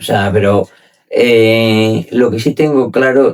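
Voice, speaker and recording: Ordinary pitch variation marks a man's very slow speech. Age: 60s. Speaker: wealth manager. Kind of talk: interview conversation. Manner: hesitant with fillers.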